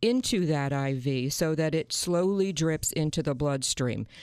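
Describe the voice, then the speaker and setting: A woman speaks at a very deep, low pitch with ordinary pitch variation. Her recording is very clean, with a silent background. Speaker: patient care coordinator. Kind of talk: radio interview about health.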